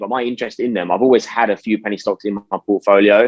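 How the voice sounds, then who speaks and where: Someone with a British accent talks at a very fast pace with ordinary pitch variation. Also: man. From UK. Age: 20s. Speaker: stock market YouTuber. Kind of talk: interview. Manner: casual.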